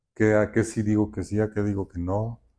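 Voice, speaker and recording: Against a quiet background, a man speaks with a fairly low pitch and a dark, mellow tone. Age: 60s. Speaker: architect and road safety activist. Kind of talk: interview testimony.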